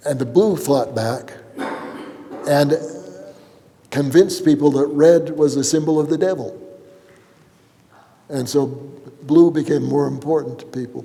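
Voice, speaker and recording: Amid noticeable background noise, a man with a fairly high voice and ordinary pitch variation speaks at a fairly slow pace, pausing long and often. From California. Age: 80s+. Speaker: abstract painter. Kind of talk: gallery talk. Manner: halting, with frequent repetitions and fillers.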